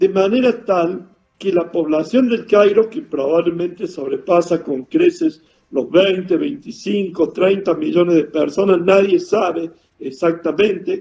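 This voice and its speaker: A man speaks at a high pitch with lively intonation. His tone is dark and mellow, and his pace fairly slow. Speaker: world traveler. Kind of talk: interview.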